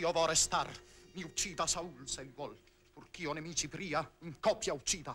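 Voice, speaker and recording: A man with a bright, sharp tone speaks at a moderate pace with fairly even intonation, big swings in loudness, and long, frequent pauses over light background noise. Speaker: stage actor. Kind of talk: 1959 theatrical verse tragedy performance, declaimed. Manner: impassioned, noble, heroic and urgent stage delivery. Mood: intense, solemn.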